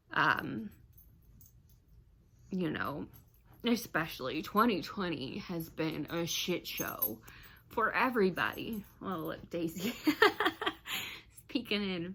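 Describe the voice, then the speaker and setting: A woman with an American accent, medium in pitch, very slow with long, frequent pauses, vocal fry, and very wide pitch swings, on a very clean recording with a silent background. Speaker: vlogger, civil engineer. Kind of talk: personal vlog, venting. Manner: halting.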